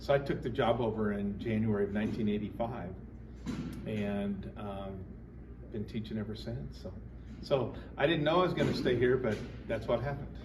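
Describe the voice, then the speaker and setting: An American-accented man with fairly low pitch and lively intonation, at a moderate pace with long, frequent pauses, in audible room echo. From Colorado. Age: 60s. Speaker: band teacher. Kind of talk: interview. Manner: casual, halting with fillers.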